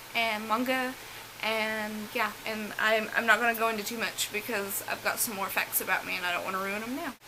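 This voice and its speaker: With an American accent, a woman speaks at a fairly high pitch and fairly even intonation over noticeable background noise. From US South. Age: 20s. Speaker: beauty vlogger. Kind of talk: casual chat.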